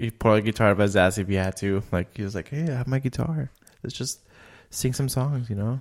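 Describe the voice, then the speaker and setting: A man speaks in an ordinary speaking voice with ordinary pitch variation. The recording is very clean, with a silent background. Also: medium pitch for a man, fairly quick pace. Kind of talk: casual chat.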